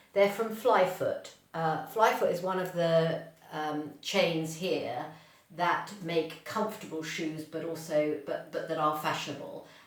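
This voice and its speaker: A woman with a fairly low pitch at a fairly slow pace, ordinary pitch variation, audible room echo and noticeable background noise. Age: 60s. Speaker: fashion vlogger. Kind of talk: casual video talk. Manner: hesitant, many ums.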